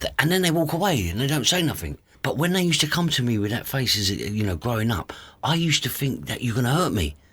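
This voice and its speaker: A man with a medium-pitched voice and vocal fry talks very fast, his pitch swinging very widely. The recording is very clean, with a silent background. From East London, England. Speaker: author and youth mentor. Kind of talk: podcast interview.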